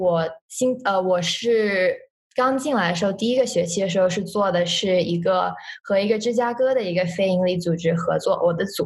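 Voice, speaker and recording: A woman talks at a medium pitch with ordinary pitch variation and a somewhat breathy quality. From China. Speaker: university student. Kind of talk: interview. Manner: halting.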